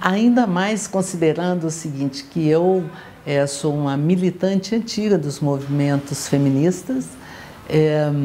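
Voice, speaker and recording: Amid noticeable background noise, a woman with a fairly low pitch talks fairly slowly with ordinary pitch variation. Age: 70s. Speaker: politician, gubernatorial candidate. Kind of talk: political interview.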